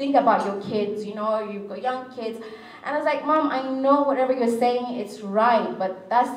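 A woman's voice at a moderate pace with fairly even intonation, audible room echo and light background noise. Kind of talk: public speech with personal story. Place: hall. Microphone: podium.

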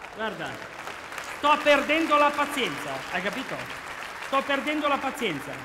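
A man's raised, projected voice rings with audible room echo over crowd noise in the background. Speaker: comedy actor playing a security guard. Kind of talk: comedy sketch dialogue. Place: stage. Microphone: headset.

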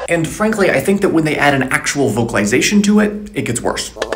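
There is loud background noise behind this voice. A man speaks at a fairly quick pace. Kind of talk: casual educational vlog. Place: home room. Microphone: earbuds.

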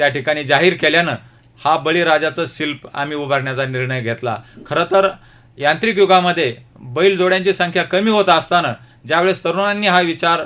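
A man with a high-pitched voice speaks in a bright, sharp tone with ordinary pitch variation. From Ahmednagar district, Maharashtra. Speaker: ex-soldier and farmer. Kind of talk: radio interview. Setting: radio studio. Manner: formal.

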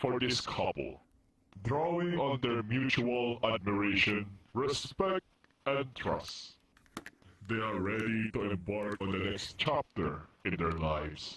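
In a put-on character voice, a man at medium pitch speaks fairly slowly with long, frequent pauses. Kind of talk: mock-solemn wedding ceremony speech. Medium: game stream. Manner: formal and earnest, turning to deadpan threats.

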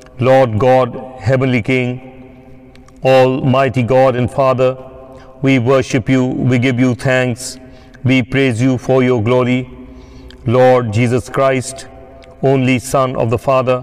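A man speaks at a very slow pace. His intonation is monotone and flat, and his loudness stays very even. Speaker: priest leading worship. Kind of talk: liturgical reading. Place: church.

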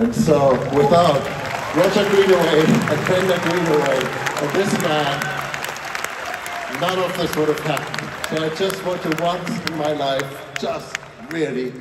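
Crowd noise fills the background as a man speaks at a fairly slow pace. He takes long, frequent pauses, and his pitch varies in an ordinary way. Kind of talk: stage speech. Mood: warm, grateful. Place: stage.

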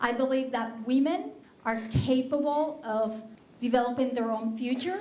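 With a Spanish accent, a woman talks in a high voice with ordinary pitch variation, and some room echo can be heard. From Colombia. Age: 40s. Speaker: skincare business owner. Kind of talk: business pitch presentation. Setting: stage with audience. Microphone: handheld.

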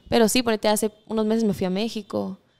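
A woman's fairly quick, monotone, flat delivery in a dark, mellow tone. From Guatemala. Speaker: singer-songwriter; guest. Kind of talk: interview. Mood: relaxed, friendly. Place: studio. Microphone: studio mic.

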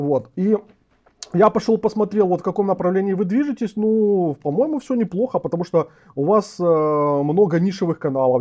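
A man is speaking. The background stays quiet. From Ukraine. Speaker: political commentator and host. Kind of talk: live interview. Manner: halting. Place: home room. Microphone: lapel.

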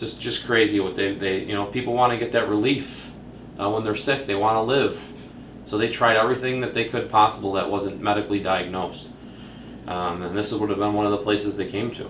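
With light background noise and audible room echo, the speaker goes at a fairly quick pace with fairly even intonation. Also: man, fairly low pitch for a man. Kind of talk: commentary. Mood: calm, slightly hushed. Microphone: camera far.

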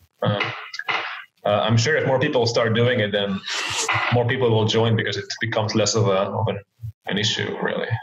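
A man talks at a fairly quick pace. Long, frequent pauses break it up, and background noise is noticeable. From Belgium. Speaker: professional poker player and entrepreneur. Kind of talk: casual chat. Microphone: video call.

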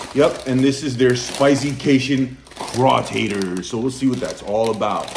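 The delivery is at a moderate pace with ordinary pitch variation. Noticeable background noise sits behind the voice. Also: man. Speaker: food vlogger. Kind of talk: casual vlog chat. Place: home room. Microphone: phone near.

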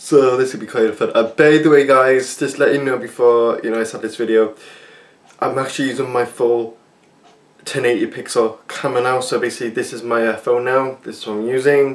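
A man's flat, monotone delivery at a fairly quick pace. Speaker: channel host. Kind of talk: casual vlog chat. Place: kitchen. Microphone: phone near.

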